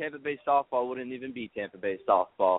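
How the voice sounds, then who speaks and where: At a moderate pace, a man speaks at a medium pitch with lively intonation. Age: 20s. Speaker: amateur softball league organizer. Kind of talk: radio interview. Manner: repeats words often.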